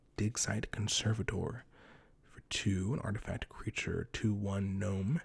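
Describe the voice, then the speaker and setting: A man speaks softly at a moderate pace, his pitch fairly low. There is some breathiness in his voice. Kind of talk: ASMR card pack opening. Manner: soft-spoken.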